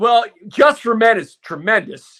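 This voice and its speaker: This man talks at a moderate pace in an animated tone. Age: 60s. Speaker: sports commentator. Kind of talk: sports talk.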